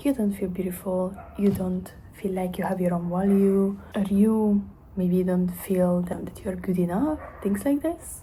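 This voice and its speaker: Speaking at a fairly slow pace with a Hungarian accent, a woman uses a medium pitch and ordinary pitch variation, with audible room echo around her. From Hungary. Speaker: self-development vlogger. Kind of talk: motivational monologue to camera. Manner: halting, with fillers.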